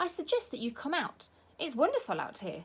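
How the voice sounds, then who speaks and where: A woman speaks at a fairly quick pace in a put-on character voice, her pitch extremely high and swinging very widely. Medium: read story. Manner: fast, repeating words.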